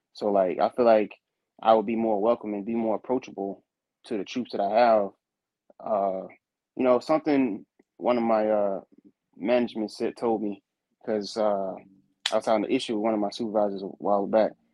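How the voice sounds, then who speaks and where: This man talks at a fairly quick pace with long, frequent pauses, his fairly low voice held to a fairly even intonation. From Henderson, North Carolina. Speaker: service member, rapper. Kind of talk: casual interview.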